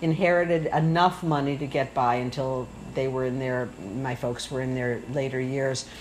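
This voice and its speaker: The speaker talks with an American accent. Noticeable background noise and audible room echo come through. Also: woman, very deep, low pitch for a woman, fairly even intonation, moderate pace. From Michigan. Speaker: retired professor and communications coach. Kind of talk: casual interview. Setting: home kitchen.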